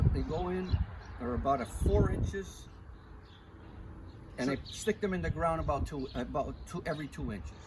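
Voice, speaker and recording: There's audible room echo and noticeable background noise as a man talks with an American accent. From northeastern Pennsylvania. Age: 70s. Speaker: home gardener. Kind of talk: interview. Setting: outdoors.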